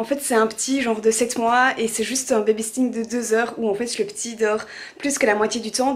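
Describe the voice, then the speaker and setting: Speech runs at a moderate pace. Noticeable background noise is audible. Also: woman. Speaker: lifestyle vlogger. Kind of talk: casual vlog. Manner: many filler hesitations.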